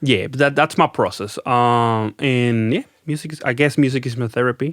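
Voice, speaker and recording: A man with a Spanish accent speaks at medium pitch and a moderate pace. The sound is dry and close with no echo, in a very clean recording with a silent background. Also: ordinary pitch variation. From Venezuela. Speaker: rock band lead singer. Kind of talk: podcast interview. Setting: studio.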